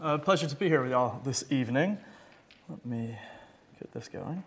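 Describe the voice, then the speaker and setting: Somewhat breathy, this voice moves at a fairly quick pace with ordinary pitch variation and big swings in loudness. Long, frequent pauses break up the speech. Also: man. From southern Africa. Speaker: charity chief executive. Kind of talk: lecture.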